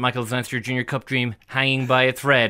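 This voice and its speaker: A man with an Irish accent and a bright, sharp tone, fairly quick, on a very clean recording against a silent background. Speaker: radio host. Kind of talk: casual chat. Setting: studio.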